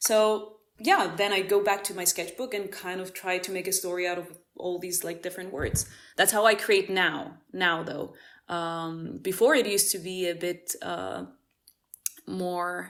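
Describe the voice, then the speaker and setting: The speech comes at a fairly slow pace in a Greek accent. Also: woman, medium pitch for a woman, fairly even intonation. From Cyprus. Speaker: musician. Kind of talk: casual interview. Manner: halting.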